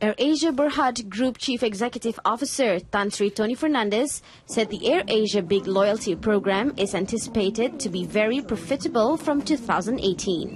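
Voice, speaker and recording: Speaking at a moderate pace with hardly any pauses, a woman uses lively intonation and a fairly high pitch in a plain, everyday voice. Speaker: television news presenter. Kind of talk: TV news broadcast reading. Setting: studio.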